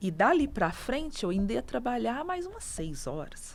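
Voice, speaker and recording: Very wide pitch swings run through a woman's speech at a moderate pace. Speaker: teacher. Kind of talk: interview testimony.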